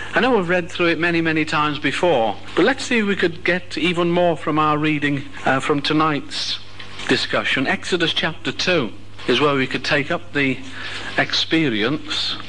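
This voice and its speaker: A man's fairly high voice with lively intonation at a moderate pace, over light background noise. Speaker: religious speaker. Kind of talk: sermon. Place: hall.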